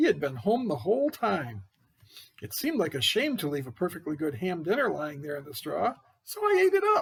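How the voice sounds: In a cartoonish character voice, a man swings his fairly high pitch very widely at a moderate pace, with a husky, rough edge and vocal fry.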